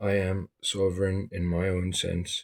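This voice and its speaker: Dry and close with no echo, this very clean, silent-background recording has a man with a South African accent speaking in a very deep, low, somewhat breathy voice with monotone, flat intonation. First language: Afrikaans. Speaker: vlogger. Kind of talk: monologue to camera.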